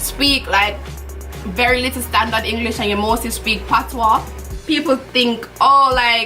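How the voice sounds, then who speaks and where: Music plays in the background as a woman speaks in a Jamaican accent. Her pitch is fairly high and her pace fairly slow. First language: Jamaican Patois. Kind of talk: casual talk to camera, makeup tutorial.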